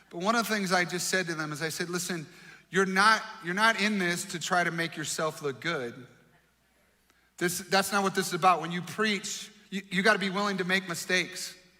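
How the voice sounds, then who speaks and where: The speech moves at a fairly quick pace with fairly even intonation, and audible room echo can be heard. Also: man, high pitch for a man. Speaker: pastor. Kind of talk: sermon.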